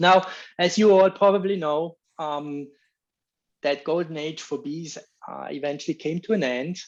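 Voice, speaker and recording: With a Swiss accent, a man speaks at a fairly high pitch with ordinary pitch variation. His loudness swings a lot, and he pauses long and often. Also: moderate pace. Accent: non-American, Swiss. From Switzerland. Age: 50s. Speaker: bee researcher giving a talk. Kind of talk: lecture. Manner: hesitant, many fillers.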